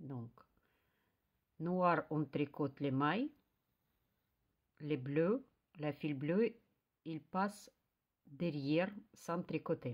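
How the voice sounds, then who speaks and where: In a Russian accent, a woman speaks at a very slow pace and a very deep, low pitch, with long, frequent pauses. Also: ordinary pitch variation. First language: Russian (speaking French). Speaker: knitting youtuber. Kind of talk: tutorial. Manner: halting, many hesitations.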